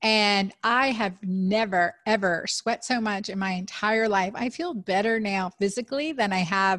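The voice is a plain, everyday voice, with ordinary pitch variation at a fairly slow pace. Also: woman. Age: 50s. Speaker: physician and podcast host. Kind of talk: casual interview.

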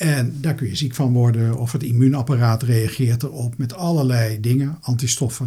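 Somewhat breathy and dark, mellow in tone, a man talks at medium pitch and a moderate pace with ordinary pitch variation. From Netherlands, Rotterdam. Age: 60s. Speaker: retired medical microbiologist. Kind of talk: interview.

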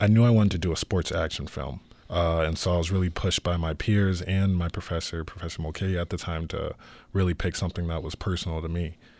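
Very fast and with fairly even intonation, a man speaks in a very deep, low pitch. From Arizona, US. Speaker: student filmmaker. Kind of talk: radio interview.

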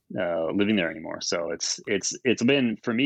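The speaker has a Canadian accent, a moderate pace and ordinary pitch variation. The sound is dry and close with no echo, over a quiet background. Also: man. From Ontario, Canada (Brantford). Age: 40s. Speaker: record label owner. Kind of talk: casual interview. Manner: halting.

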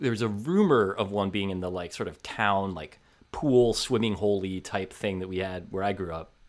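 A man talks at a fairly quick pace with a fairly low pitch. His is an unremarkable speaking voice. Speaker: sports writer. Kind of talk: casual chat. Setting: video call.

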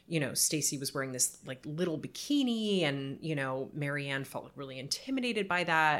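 With lively intonation and an American accent, a woman speaks in a very deep, low voice at a moderate pace with hardly any pauses. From Southern California, Palos Verdes. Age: 30s. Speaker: writer and editor. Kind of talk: casual chat.

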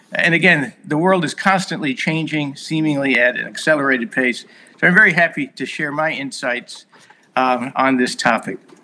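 A man talks at a moderate pace with a fairly high pitch. His pitch varies in an ordinary way. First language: Hungarian. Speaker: compliance consultant and former Marine officer. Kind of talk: casual interview chat.

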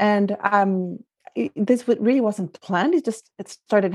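Over a quiet background, a woman with a Spanish accent speaks at medium pitch and a moderate pace with lively intonation. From Guatemala. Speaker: life coach. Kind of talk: interview.

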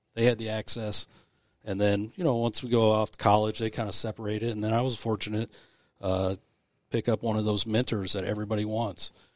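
The voice is monotone, with flat intonation, on a very clean recording with a silent background and a dry, close sound with no echo. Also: man, fairly low pitch for a man. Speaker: volunteer conservation chapter chairman. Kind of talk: casual interview chat.

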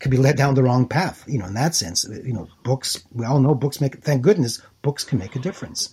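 A man speaks very fast in a somewhat breathy voice with a Montreal accent, his pitch medium. The recording is very clean, with a silent background. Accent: Montreal English (Canadian). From Montreal, Quebec. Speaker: author and writer in residence. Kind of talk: casual chat. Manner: halting.

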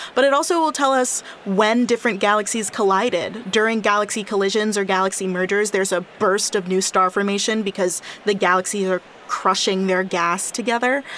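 A woman of medium pitch talks at a fairly quick pace with very even loudness and ordinary pitch variation, amid noticeable background noise. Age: 20s. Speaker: astrophysicist and podcast co-host. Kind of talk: casual science chat.

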